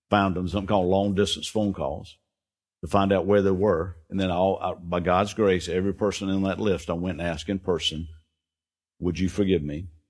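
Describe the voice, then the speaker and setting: Speaking at a fairly quick pace, a man uses a very deep, low pitch and monotone, flat intonation on a very clean recording with a silent background. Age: 60s. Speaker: pastor. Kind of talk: sermon. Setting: church.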